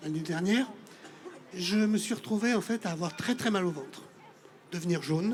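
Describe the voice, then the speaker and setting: His pitch varies in an ordinary way as the man keeps a moderate pace. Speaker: audience member, liver transplant patient. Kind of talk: testimony.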